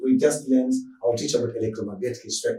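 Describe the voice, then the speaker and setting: The voice belongs to a man. Audible echo from the room surrounds it. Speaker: physics teacher. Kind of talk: lecture. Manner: fast; halting.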